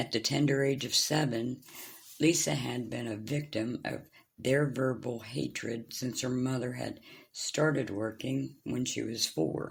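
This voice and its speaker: This is a put-on character voice, raspy and low-to-middle in pitch. It moves at a fairly slow pace. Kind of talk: audiobook reading by author. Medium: read story. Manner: plain, unpolished.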